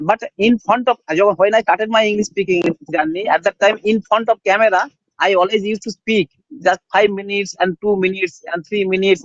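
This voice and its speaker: A man with a Bengali accent, high in pitch, at a fairly quick pace with fairly even intonation. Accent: Bengali-accented Indian English. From India, rural West Bengal. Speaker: English learner. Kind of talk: casual chat. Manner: halting.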